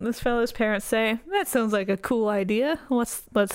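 A natural reading voice carries the text.

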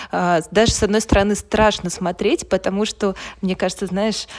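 With monotone, flat intonation and a medium pitch, a woman talks at a moderate pace. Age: 30s. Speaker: podcast co-host. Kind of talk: casual chat. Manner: hesitant, many fillers.

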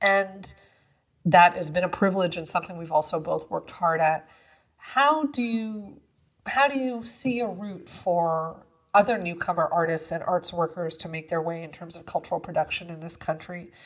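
A woman's normal speaking voice, fairly low in pitch, at a moderate pace, with ordinary pitch variation and big swings in loudness. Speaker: podcast host. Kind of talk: interview conversation.

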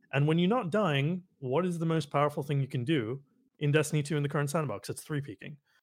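A man's somewhat breathy, fairly high voice moves at a very fast pace with ordinary pitch variation, captured in a very clean recording over a silent background. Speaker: gamer and streamer. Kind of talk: casual chat. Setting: voice call stream.

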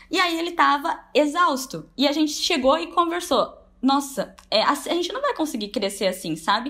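At a moderate pace, a woman speaks in a high, bright, sharp voice that swings very widely in pitch. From Brazil, Braúna (São Paulo interior). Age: 20s. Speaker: online course entrepreneur. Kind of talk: testimony.

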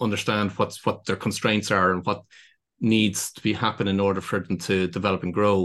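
Over a quiet background, a man with a Dublin accent speaks at a fairly low pitch. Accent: Irish (Dublin). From Ireland, County Dublin. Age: 50s. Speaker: business consultant. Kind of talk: interview.

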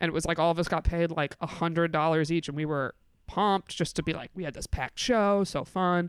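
The recording is very clean, with a silent background. A woman with an American accent speaks fairly quickly at a fairly low pitch, her intonation fairly even. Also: dry, close sound with no echo. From upstate New York. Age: 30s. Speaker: comedian. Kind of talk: casual chat.

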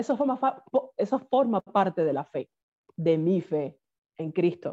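With a Cuban accent, a woman speaks at a fairly slow pace and a medium pitch, her tone dark and mellow and her intonation lively. The sound is dry and close, with no echo. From Cuba, Havana. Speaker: singer. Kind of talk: interview.

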